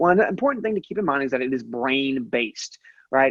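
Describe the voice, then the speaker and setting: A man at medium pitch talks at a very fast pace. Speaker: head of school, webinar presenter. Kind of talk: webinar presentation. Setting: online webinar. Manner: halting, many fillers.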